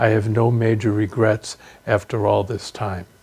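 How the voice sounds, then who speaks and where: A man's somewhat breathy voice at medium pitch, dark and mellow in tone. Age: 70s. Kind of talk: personal testimony interview.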